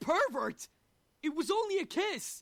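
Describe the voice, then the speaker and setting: The put-on character voice is pitched extremely high. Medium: machinima. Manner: blunt, brash.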